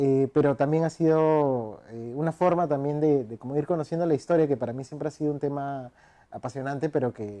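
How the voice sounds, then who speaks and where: A man's dark, mellow tone sits at a fairly high pitch as he speaks fairly quickly with fairly even intonation. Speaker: writer and researcher. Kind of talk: interview. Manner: hesitant, many fillers.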